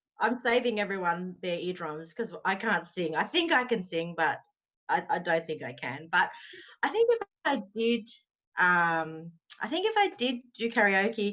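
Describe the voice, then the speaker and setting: A woman speaks with an Australian accent. Her intonation is lively. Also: medium pitch for a woman. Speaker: author. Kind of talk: casual interview.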